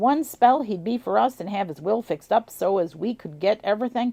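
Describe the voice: Ordinary pitch variation in plain reading aloud.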